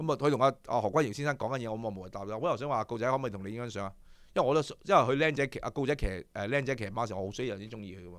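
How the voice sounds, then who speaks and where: Very fast and animated, a man talks with ordinary pitch variation and big swings in loudness, in a dry sound with no echo. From Hong Kong. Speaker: horse racing show host. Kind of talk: casual chat. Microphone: studio mic.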